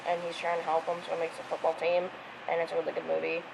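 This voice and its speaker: A woman's speech is accompanied by noticeable background noise. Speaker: video blogger. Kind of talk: casual monologue.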